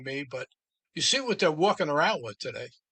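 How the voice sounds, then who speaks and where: A man speaks with a New York accent. His pitch is fairly high. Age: 70s. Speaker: podcast host. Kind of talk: casual chat.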